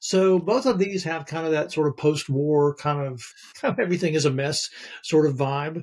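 A man's fairly high voice with an American accent, ordinary pitch variation, moderate pace and a quiet background. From North Carolina, US South. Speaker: theater professor and novelist; theater professor. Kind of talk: casual film discussion. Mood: relaxed, thoughtful. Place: home room.

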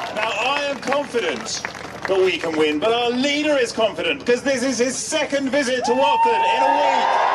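With crowd noise behind him, a man speaks at a moderate pace in an extremely high pitch and very even loudness. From United Kingdom. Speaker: political candidate introducing speaker at rally. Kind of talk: campaign rally introduction speech. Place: street.

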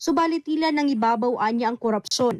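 A woman's high voice with lively intonation at a fairly quick pace, dry and close with no echo, over a quiet background. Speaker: news reporter. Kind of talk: news report.

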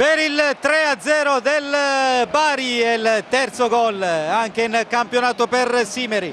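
Noticeable background noise is present throughout. The talking proceeds at a very slow pace. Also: man. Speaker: sports commentator. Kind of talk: live commentary. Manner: animated.

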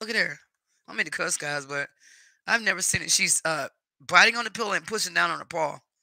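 A man in a Southern US accent talks at a very fast pace with a bright, sharp tone. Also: very clean recording, silent background. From North Carolina, US. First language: Spanish. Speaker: YouTube live streamer. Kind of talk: casual chat. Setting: live stream at home. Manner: warm, chatty.

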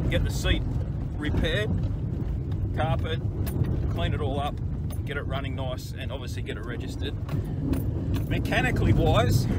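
A man at a moderate pace with long, frequent pauses, in a dry sound with no echo, over loud background noise. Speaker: car hobbyist vlogger. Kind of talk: casual vlog chat. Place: car. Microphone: phone near.

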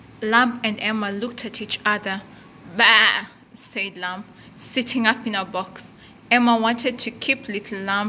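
The unforced reading voice keeps a fairly even intonation.

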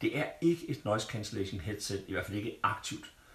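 A man speaks at a moderate pace in a somewhat breathy voice. Room echo is audible. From Denmark. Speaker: tech reviewer. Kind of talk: product review. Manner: casual, halting with fillers. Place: home room.

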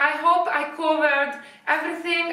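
A woman with an Italian accent uses a raised, projected voice, and the room echo is audible. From Italy. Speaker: fashion youtuber; fashion vlogger. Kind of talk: product review. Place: home room. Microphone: camera far.

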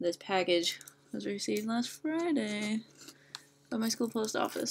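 The talking moves at a moderate pace over light background noise. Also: woman. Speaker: book vlogger. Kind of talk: casual vlog chat. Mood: cheerful, giggly. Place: home room. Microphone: webcam.

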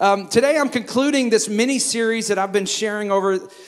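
Fairly quick pace from a man, with ordinary pitch variation. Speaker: pastor. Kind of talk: sermon. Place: church. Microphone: handheld.

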